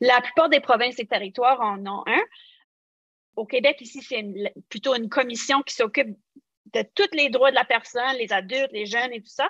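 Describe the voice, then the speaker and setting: A woman with an Acadian accent speaks at a moderate pace, her high pitch showing ordinary variation. Her loudness swings widely, with long, frequent pauses in a dry, close sound with no echo. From New Brunswick, Acadia (Canada). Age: 40s. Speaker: social work researcher, former foster youth. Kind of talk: podcast interview.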